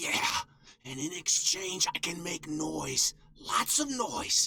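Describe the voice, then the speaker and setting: This is a put-on character voice, raspy and middle in pitch. It moves at a very slow pace. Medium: game stream. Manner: conspiratorial, low-key.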